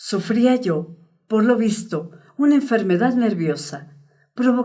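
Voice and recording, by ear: Over a quiet background, someone reads aloud in a natural voice with ordinary pitch variation.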